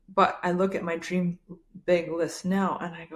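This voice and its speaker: A woman speaks at a fairly slow pace and medium pitch. Her intonation is monotone and flat. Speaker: podcast host. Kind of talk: casual chat.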